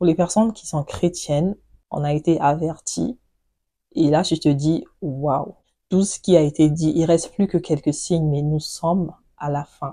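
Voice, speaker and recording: A woman's dark, mellow, somewhat breathy voice at a fairly slow pace against a quiet background. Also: fairly low pitch for a woman, ordinary pitch variation. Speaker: beauty and lifestyle vlogger. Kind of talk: casual chat to camera.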